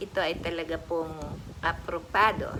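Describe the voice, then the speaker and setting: The voice belongs to a woman with a fairly low pitch. She speaks at a moderate pace. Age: 60s. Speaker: vlogger. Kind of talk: casual tutorial vlog. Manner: animated.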